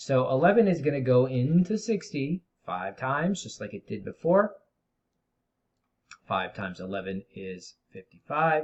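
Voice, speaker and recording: A somewhat breathy man at a fairly high pitch and moderate pace, with very wide pitch swings, big swings in loudness and long, frequent pauses. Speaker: middle school math teacher. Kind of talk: tutorial.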